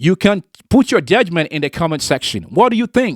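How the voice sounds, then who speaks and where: Moderate-paced speech in a non-native accent, in a very clean recording with a silent background. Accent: non-native English, foreign. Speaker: political commentary vlogger. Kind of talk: opinion monologue to camera. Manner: emphatic, repetitive.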